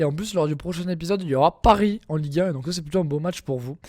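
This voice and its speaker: Here is a man with a fairly high pitch. His tone comes across dark and mellow. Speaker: gaming youtuber. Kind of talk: gameplay commentary. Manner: casual, hesitant with many fillers.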